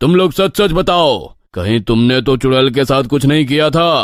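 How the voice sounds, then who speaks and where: In a put-on character voice, a man speaks with lively intonation at a medium pitch. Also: moderate pace, very even loudness. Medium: audio drama. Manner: authoritative, fatherly.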